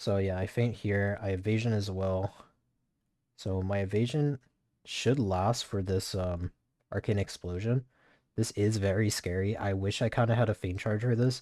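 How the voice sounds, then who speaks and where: A man's fairly low voice with a dark, mellow tone. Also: fairly even intonation, moderate pace. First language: not English. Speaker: gaming streamer. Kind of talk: gameplay commentary. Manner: casual, fillers.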